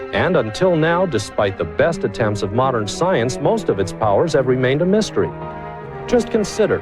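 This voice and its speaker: Music plays in the background as a man with a fairly high pitch and very wide pitch swings speaks at a moderate pace. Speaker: infomercial host. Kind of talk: infomercial presentation.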